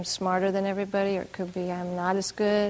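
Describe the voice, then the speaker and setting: A woman's medium-pitched voice in a warm, calm tone with monotone, flat intonation. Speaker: meditation teacher. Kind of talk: guided meditation. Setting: retreat hall with group. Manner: slow, soft, calm and soothing, with long pauses; warm, gently laughing.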